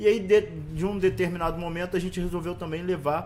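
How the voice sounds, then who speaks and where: In a normal speaking voice, a man talks at a fairly quick pace and a fairly high pitch. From Rio de Janeiro West Zone favela, Brazil. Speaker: social project leader and coach. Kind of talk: casual interview.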